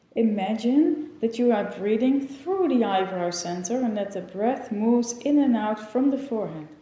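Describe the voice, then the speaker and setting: Noticeable background noise runs under a woman's voice. Her pitch is fairly high and her intonation lively. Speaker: yoga teacher. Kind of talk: guided meditation. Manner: slow, calm.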